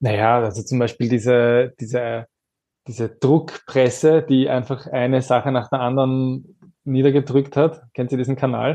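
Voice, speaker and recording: At a moderate pace, a man talks in a medium pitch with a dark, mellow tone and fairly even intonation. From Austria. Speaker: influencer and advocacy communications head. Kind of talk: panel discussion.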